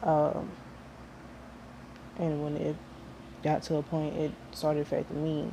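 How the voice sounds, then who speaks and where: A woman's very deep, low voice, somewhat breathy and monotone with flat intonation, at a moderate pace. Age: 20s. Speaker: vlogger sharing personal story. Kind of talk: personal vlog testimony. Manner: halting, repeats words.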